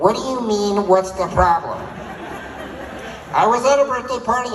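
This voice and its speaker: A squeaky, put-on character voice sits at a fairly high pitch and moves at a moderate pace over clear background noise. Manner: indignant, pleading.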